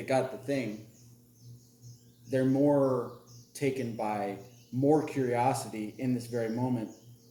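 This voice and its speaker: Talking at a fairly slow pace, a man speaks with an American accent. Audible room echo and noticeable background noise fill the recording. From US South. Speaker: podcast host. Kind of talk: casual chat.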